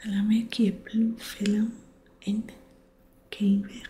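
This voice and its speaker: Someone soft-spoken talks at a fairly slow pace over noticeable background noise. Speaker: ASMR creator. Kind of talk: bedtime book reading.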